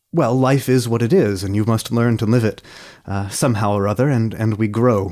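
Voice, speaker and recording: Over a very clean recording with a silent background, a man with an unremarkable speaking voice and an American accent talks at a fairly quick pace, medium in pitch with ordinary pitch variation. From United States. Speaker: podcast host. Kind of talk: interview.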